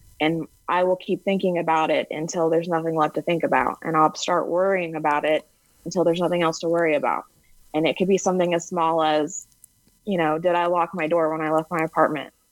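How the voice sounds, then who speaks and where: Here is a woman with an American accent and a fairly low pitch. She talks at a very fast pace. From US Texas. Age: 30s. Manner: monotone; unanimated.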